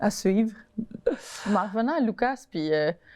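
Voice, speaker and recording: The voice has a dark, mellow tone. It moves at a fairly slow pace. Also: woman. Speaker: host's daughter. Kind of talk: casual chat. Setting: studio.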